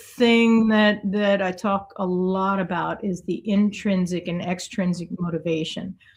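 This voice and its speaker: A woman talks at a fairly slow pace. Her pitch sits in the medium range. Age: 60s. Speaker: artist and coach. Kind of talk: podcast interview. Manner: halting.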